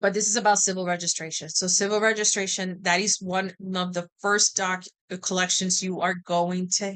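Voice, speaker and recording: The woman talks at a moderate pace in a medium pitch. Her intonation is monotone and flat. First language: Spanish. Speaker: genealogy educator. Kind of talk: tutorial. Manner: casual, halting with many fillers.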